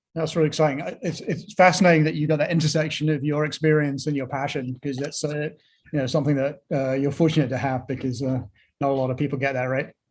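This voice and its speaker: A man with a fairly high pitch speaks at a very fast pace, his voice somewhat breathy. His intonation stays fairly even. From London, England. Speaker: podcast host. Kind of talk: interview. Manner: hesitant, many fillers and repeats.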